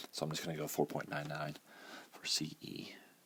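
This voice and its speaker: A man is whispering. He keeps a moderate pace. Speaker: math teacher. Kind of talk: tutorial. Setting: at home early morning.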